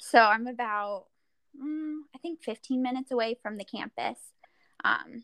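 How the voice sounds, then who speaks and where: A woman with a Midwestern American accent, in a dry, close sound with no echo. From Iowa, rural Central City. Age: 20s. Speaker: distance runner. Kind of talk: casual chat.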